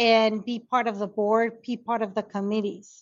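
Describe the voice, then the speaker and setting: Speaking fairly slowly, a woman has a Spanish accent. Her voice is fairly high. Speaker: conflict resolution consultant and educator. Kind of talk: interview conversation. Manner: halting, repeats words.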